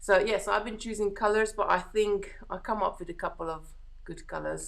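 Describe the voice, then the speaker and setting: This woman speaks with a Hungarian accent. Her intonation remains fairly even. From Hungary. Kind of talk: casual live-stream chat. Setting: live stream. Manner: relaxed, chatty.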